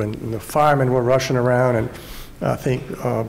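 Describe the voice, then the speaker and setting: A man's medium-pitched voice at a very fast pace, fairly even in intonation, with audible room echo and noticeable background noise. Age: 60s. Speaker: journalist. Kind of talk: panel discussion. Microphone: too far from the mic.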